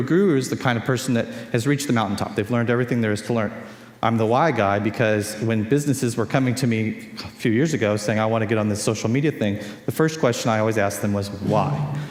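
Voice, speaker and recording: A man with a Californian accent talks at a very fast pace and a medium pitch with ordinary pitch variation, amid noticeable background noise and audible room echo. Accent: Californian American English. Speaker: conference speaker on social media. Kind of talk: conference talk. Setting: stage with audience.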